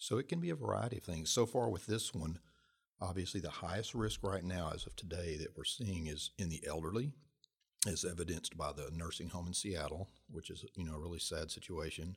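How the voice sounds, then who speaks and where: A man's very deep, low voice, somewhat breathy, at a fairly quick pace with ordinary pitch variation. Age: 50s. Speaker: professor. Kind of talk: interview.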